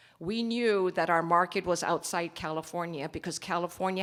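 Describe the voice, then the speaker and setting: Here a woman has an ordinary speaking voice, fairly low in pitch, and talks at a moderate pace. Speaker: company executive presenting at investment forum. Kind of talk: conference presentation.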